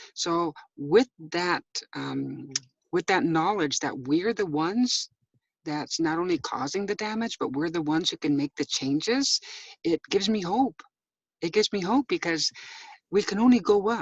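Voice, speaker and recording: A woman's fairly low voice with lively intonation, a moderate pace, long and frequent pauses, and a dry, close sound with no echo. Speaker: activist speaker. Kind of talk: inspirational talk. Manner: halting. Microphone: phone.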